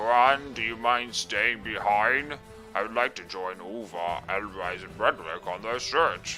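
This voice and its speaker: Over clear music in the background, a man performs a put-on character voice at medium pitch and a fairly slow pace. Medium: solo performance.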